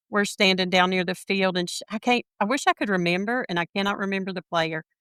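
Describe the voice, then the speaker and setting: A woman with a Southern US accent talks fairly quickly at a medium pitch, her tone bright and sharp, in a very clean, dry, close recording with a silent background and no echo. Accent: Southern US (Georgia). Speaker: sports fan. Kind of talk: casual chat.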